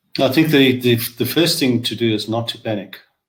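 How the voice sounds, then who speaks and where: A man's voice comes through somewhat breathy. He talks at a fairly quick pace. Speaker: financial planner and author. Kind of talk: webinar panel discussion.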